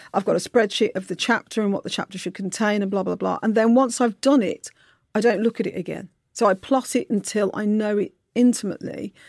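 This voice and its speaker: Speaking with a Brummie accent, a woman talks at a fairly quick pace and a fairly high pitch. Her intonation is fairly even, and the recording is very clean with a silent background. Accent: Brummie (Birmingham English). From Birmingham, England. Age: middle-aged. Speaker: novelist. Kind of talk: interview. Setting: studio.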